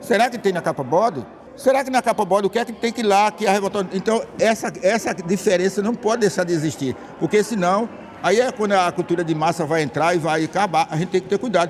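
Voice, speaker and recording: A man speaks very fast in a high, animated voice with ordinary pitch variation. Background noise is noticeable. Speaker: band conductor and music teacher. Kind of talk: interview.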